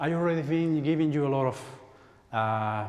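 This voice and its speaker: With audible room echo, a man speaks at a moderate pace and with ordinary pitch variation. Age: 40s. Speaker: spiritual healer. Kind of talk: workshop talk. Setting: church stage with audience.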